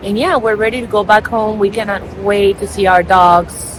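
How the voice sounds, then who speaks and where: A woman's medium-pitched voice with a non-native accent and fairly even intonation, against noticeable background noise. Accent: noticeable foreign. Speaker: travel vlogger. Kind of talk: casual vlog talk. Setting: airport.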